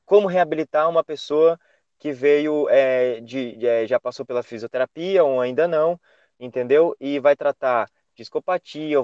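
Recorded with a dry, close sound and no echo against a quiet background, an ordinary speaking voice moves at a moderate pace with ordinary pitch variation. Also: man. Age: 20s. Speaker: physical education professional, Pilates instructor. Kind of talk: interview.

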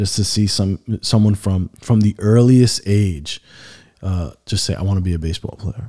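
A man's fairly low, somewhat breathy voice, dark and mellow in tone, with fairly even intonation. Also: moderate pace, dry, close sound with no echo, very clean recording, silent background. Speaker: father of athlete, church leader. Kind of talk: casual podcast interview.

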